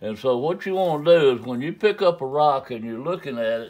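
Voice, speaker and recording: With a Southern US accent, a man talks at a moderate pace in lively intonation. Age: 70s. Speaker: flintknapping craftsman. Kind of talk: tutorial. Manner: casual, folksy.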